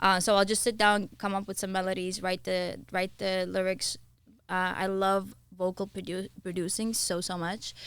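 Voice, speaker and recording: A woman speaks at a moderate pace in a medium pitch with flat, monotone intonation, recorded very cleanly against a silent background. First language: not English (English is third language). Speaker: singer and recording artist. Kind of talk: casual interview chat. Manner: halting.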